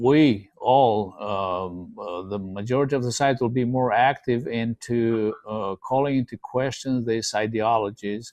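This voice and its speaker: In a Romanian accent, the speaker talks at a fairly slow pace with ordinary pitch variation and hardly any pauses. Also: man, medium pitch for a man. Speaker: podcast host. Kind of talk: casual discussion. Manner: halting, many fillers.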